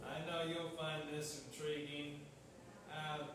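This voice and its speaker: A man is speaking in a room with strong echo. Noticeable background noise is present. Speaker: pastor. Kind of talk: sermon. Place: church. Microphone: camera far.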